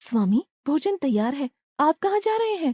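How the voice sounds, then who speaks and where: Doing a cartoonish character voice, a woman speaks at a high pitch and a moderate pace with very wide pitch swings, in a dry, close sound with no echo. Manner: soft, gentle.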